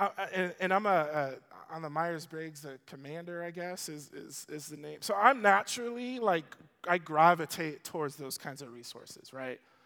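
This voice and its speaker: With a bright, sharp, animated tone and high pitch, a man talks at a moderate pace with ordinary pitch variation and big swings in loudness. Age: 30s. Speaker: pastor. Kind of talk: sermon.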